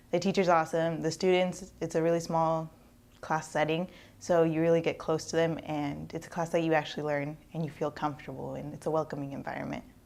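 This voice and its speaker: Spoken at a fairly quick pace in a Spanish accent, the voice stays monotone and flat, on a very clean recording with a silent background. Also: woman, very deep, low pitch for a woman. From Eastern Washington, US. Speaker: university student. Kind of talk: testimonial.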